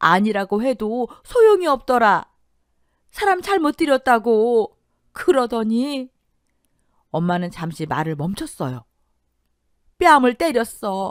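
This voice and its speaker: Using a put-on character voice, a woman speaks shakily at a fairly slow pace and a fairly high pitch, with very wide pitch swings and long, frequent pauses. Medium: audio drama. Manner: shaky, tearful.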